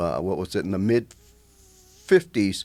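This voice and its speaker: This man speaks with an American accent and a dark, mellow tone. His intonation stays fairly even. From Northwest Ohio. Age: 70s. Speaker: radio co-host. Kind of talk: casual chat. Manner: halting, many fillers.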